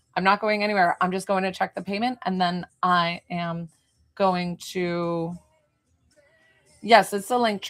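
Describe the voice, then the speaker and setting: With music in the background, a woman speaks with an American accent. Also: long, frequent pauses. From New York, Hudson Valley. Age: 40s. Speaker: psychic medium. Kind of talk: live stream chat with viewers. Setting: live stream on camera.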